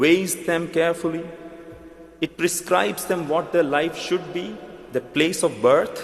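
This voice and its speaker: A man with a strong Indian accent and a high pitch at a fairly slow pace, with audible room echo and noticeable background noise. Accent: Indian, thick. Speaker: pastor. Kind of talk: sermon. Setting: church.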